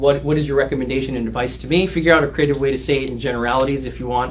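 Light background noise behind a man's voice. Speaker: lawyer giving a talk. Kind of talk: livestream discussion. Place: office. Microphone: camera far.

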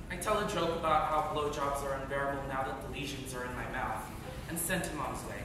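Amid noticeable background noise and strong room echo, a man talks at a very fast pace in a fairly high pitch with ordinary pitch variation. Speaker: acting student performing a monologue. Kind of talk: dramatic monologue, theatrical narration in character of a dying man. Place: stage. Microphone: camera far.

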